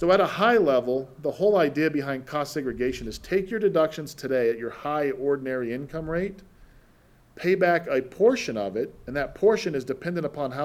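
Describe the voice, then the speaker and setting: A man's unremarkable speaking voice, fairly high, with an American accent at a moderate pace. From Utah, US (Salt Lake City). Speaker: tax depreciation specialist. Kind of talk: podcast interview.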